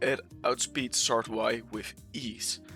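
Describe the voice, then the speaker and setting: With music playing in the background, a man talks at a medium pitch. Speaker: Pokemon competitive video creator. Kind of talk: casual gaming commentary.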